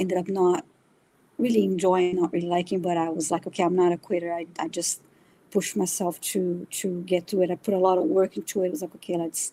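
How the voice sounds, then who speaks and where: A woman with a Brazilian accent speaks very fast in a dark, mellow tone with fairly low pitch and monotone, flat intonation. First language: Brazilian Portuguese. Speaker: spiritual reader. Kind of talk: interview conversation. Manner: halting, many fillers.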